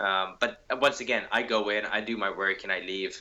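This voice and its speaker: A man's fairly low voice, bright and sharp in tone, at a moderate pace. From Canada, Winnipeg. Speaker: mixed martial arts fighter. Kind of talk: interview. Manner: hesitant, many fillers and repeats.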